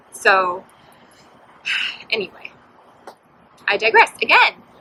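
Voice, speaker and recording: The speaker is soft-spoken. The intonation is lively. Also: woman. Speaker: podcast host. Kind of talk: casual chat.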